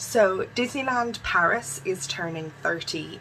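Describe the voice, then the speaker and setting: A woman's lively intonation over light background noise. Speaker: vlogger. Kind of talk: casual vlog chat. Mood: upbeat though unwell. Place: home room. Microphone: phone near.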